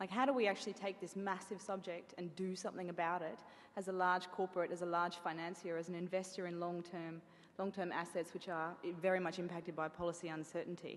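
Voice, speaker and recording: With an Australian accent, a woman rushes along at a very fast pace in a fairly low pitch with monotone, flat intonation. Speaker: bank sustainability executive. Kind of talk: conference talk. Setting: event venue with audience.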